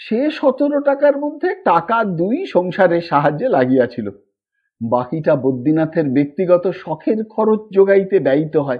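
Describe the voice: At a moderate pace, a man speaks at a fairly high pitch with big pitch swings.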